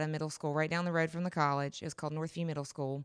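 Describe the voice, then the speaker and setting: A North Carolina accent with fairly even intonation, on a very clean recording with a silent background. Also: woman. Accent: Southern US (North Carolina). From US South, western North Carolina. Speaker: middle school teacher. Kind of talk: casual interview.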